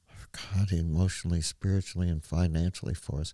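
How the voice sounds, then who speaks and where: A man with an American accent speaks in a very deep, low, somewhat breathy voice with ordinary pitch variation. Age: 70s. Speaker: search and rescue founder. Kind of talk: casual interview, telling personal story.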